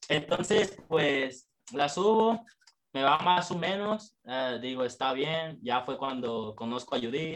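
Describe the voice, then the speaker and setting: Very slowly, a man talks with lively intonation. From Mexico, Michoacán (Jacona). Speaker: rapper. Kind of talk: casual chat.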